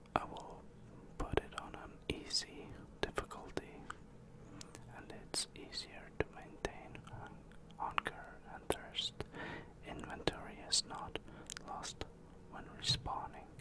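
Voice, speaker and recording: A man whispers at a very slow pace, leaving long, frequent pauses. His loudness swings widely. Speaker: gamer. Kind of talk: ASMR gaming commentary, whispered while playing a video game. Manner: whispered, soft-spoken. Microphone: studio mic.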